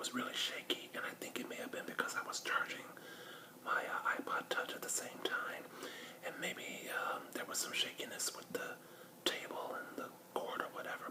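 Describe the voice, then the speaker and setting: A whisper at a moderate pace, with noticeable noise in the background. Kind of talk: casual talk to camera. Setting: recorded in the dark on a handheld device. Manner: whispered, intimate.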